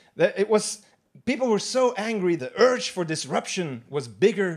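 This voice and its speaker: A man talks at a moderate pace. His pitch makes very wide swings. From Belgium. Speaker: stand-up comedian. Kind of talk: live stand-up comedy. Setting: live theatre audience.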